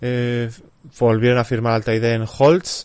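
Speaking with a Castilian accent, a man keeps a medium pitch and fairly even intonation. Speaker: podcast host. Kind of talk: reading aloud; casual chat.

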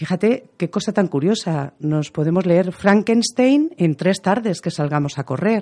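The pace is fairly slow. There are hardly any pauses. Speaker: audiobook narrator. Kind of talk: reading aloud; interview.

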